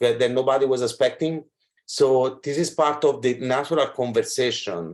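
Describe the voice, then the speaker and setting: The speaker has an Italian accent. Pitch varies in an ordinary way. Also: man, fairly high pitch for a man, moderate pace. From Italy. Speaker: fashion school representative. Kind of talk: video call discussion.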